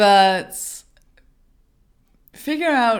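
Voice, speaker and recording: A woman with a Danish accent in a very clean recording with a silent background. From Denmark. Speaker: brand designer and small business coach. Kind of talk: vlog advice talk. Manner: halting.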